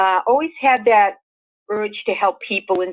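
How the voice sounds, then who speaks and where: A woman is speaking. Her pace is moderate. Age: 60s. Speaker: spiritual teacher and angel minister. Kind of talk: interview. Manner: hesitant fillers, casual.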